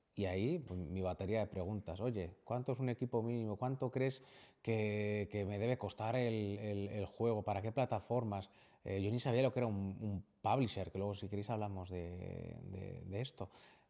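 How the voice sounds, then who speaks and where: A man's fairly low, dark and mellow voice at a moderate pace, on a very clean recording with a silent background. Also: ordinary pitch variation. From Valladolid, Spain. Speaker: video game studio CEO. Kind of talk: interview answer.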